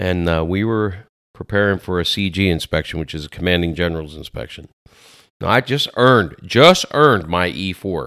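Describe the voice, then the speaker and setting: Over a silent background on a very clean recording, a man with a very deep, low pitch and a bright, sharp tone speaks at a moderate pace with lively intonation. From Lancaster, Pennsylvania. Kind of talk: casual interview chat.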